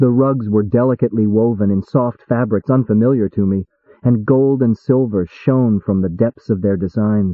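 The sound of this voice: Against a quiet background, an unforced reading voice carries ordinary pitch variation.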